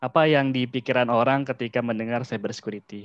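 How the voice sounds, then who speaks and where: The delivery is very fast, with a dry, close sound and no echo. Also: man. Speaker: cyber security practitioner, guest speaker. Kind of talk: online lecture / knowledge sharing. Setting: video call. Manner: casual, with filler words.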